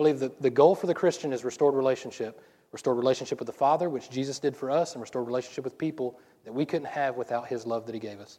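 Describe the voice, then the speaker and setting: In a Southern US accent, a man with a dark, mellow tone and medium pitch speaks very fast with fairly even intonation. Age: 40s. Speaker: pastor. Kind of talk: sermon. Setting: church. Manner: fast talker.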